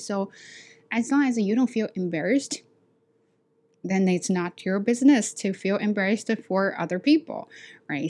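In a Chinese accent, a woman speaks at a moderate pace and medium pitch, her tone dark and mellow and her intonation lively. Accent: Chinese accent, working to reduce it. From China. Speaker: ESL teacher and podcaster. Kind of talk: casual chat.

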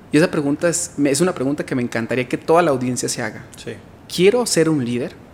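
Very fast speech from a man, fairly high in pitch with lively intonation. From Mexico, Guadalajara, Jalisco. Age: 30s. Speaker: entrepreneur and motivational speaker. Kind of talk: interview. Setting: studio.

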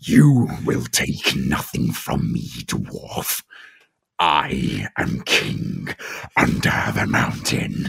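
Speaking very slowly, a man puts on a raspy character voice with a very deep, low pitch. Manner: menacing, commanding.

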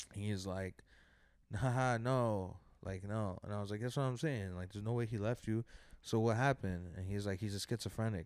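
An ordinary speaking voice from a man with an American accent, fairly low in pitch, fairly quick, fairly even in intonation, on a very clean recording with a silent background. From New York, Colombian American family. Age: 20s. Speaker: comedian. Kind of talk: casual chat.

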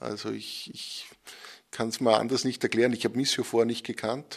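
At a fairly quick pace, a man with an Upper Austrian accent talks at medium pitch in a monotone, flat delivery. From Upper Austria (Enns). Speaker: magazine editor and journalist. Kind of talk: interview. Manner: hesitant, with frequent word repetitions.

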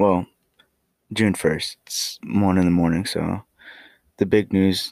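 Soft-spoken and monotone, a man talks at a very slow pace with flat intonation, in a very clean recording with a silent background and a dry, close sound with no echo. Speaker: podcast host. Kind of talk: casual chat. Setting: at home. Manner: halting.

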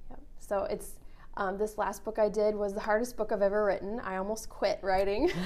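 With a Minnesota accent, a woman speaks in a fairly high voice using fairly even intonation. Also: fairly quick pace. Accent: Upper Midwest (Minnesota) American. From rural Minnesota. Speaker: author and associate pastor. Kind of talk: interview.

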